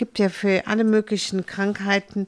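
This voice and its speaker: The recording is very clean with a silent background as a woman talks at a fairly slow pace. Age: 70s. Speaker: animal welfare donor, former PR woman. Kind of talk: casual interview. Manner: halting, many fillers.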